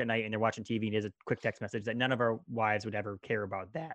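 A man talking at a very fast pace. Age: 30s. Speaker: podcast host. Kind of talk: casual chat.

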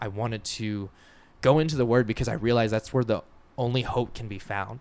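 This man has a plain, everyday voice. He keeps a moderate pace and fairly even intonation. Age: 20s. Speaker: podcast guest sharing faith story. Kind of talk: casual interview conversation. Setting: home recording in host's house.

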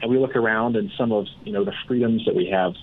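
With lively intonation, a man talks in an ordinary speaking voice. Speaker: financial advisor and sponsor. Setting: phone call.

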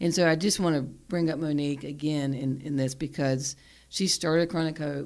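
In a Southern US accent, a woman with a very deep, low pitch talks at a moderate pace with fairly even intonation on a very clean recording with a silent background. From US South, South Carolina. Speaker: podcast host and psychotherapist. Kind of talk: casual interview chat.

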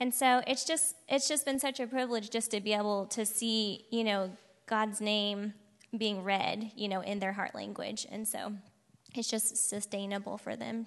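A woman with an American accent, an unremarkable speaking voice, fairly high in pitch and at a moderate pace. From Oklahoma, Piedmont. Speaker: missionary. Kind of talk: testimony.

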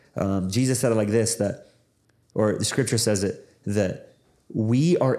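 With a Pacific Northwest accent, a man speaks at a medium pitch with ordinary pitch variation and a dark, mellow tone. The recording is very clean, with a silent background. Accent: Pacific Northwest American. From US Pacific Northwest. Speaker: pastor and former Bible college director. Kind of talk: casual interview.

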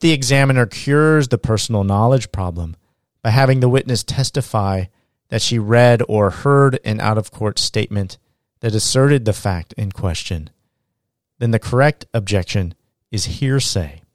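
A man talks at a medium pitch in a plain, everyday voice. The recording is very clean, with a silent background. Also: ordinary pitch variation, moderate pace. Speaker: law lecturer. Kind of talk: lecture. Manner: formal.

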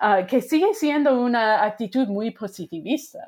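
With an American accent, this woman talks using ordinary pitch variation. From US Midwest, Wisconsin. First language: English (speaking Spanish). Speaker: sociology professor. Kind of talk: interview. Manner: halting.

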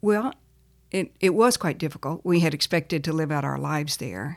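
A woman talks in a Texan accent. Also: very clean recording, silent background. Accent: Texan American. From Texas. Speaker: nonprofit founder and former missionary. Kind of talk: interview.

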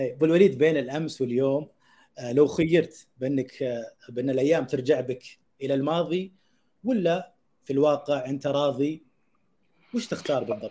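Fairly high-pitched and dark, mellow in tone, a man speaks at a fairly slow pace with long, frequent pauses. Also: ordinary pitch variation. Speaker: podcast host. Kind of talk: interview, scripted intro then casual chat. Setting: studio, streamed live.

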